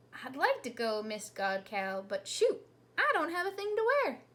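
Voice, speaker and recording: A woman's put-on character voice, extremely high, with very wide pitch swings at a moderate pace. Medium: read story. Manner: humble, folksy.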